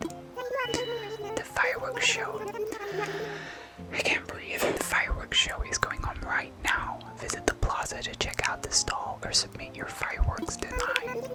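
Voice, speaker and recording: There is noticeable background noise. A whisper moves along at a fairly slow pace. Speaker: ASMR gaming streamer. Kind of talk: casual chatty gameplay commentary with viewers. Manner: whispery, soft-spoken.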